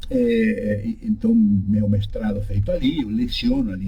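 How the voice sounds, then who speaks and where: A man talks with a Uruguayan accent. Noticeable background noise is present. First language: Spanish (speaking Portuguese). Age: 60s. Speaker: law professor. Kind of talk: radio interview. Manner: halting.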